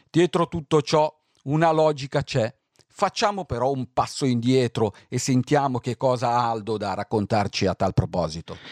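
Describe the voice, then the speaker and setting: A man talks at a moderate pace in a medium pitch with lively intonation. The very clean recording has a silent background and a dry, close sound with no echo. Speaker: radio host. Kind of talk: radio music show. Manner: calm.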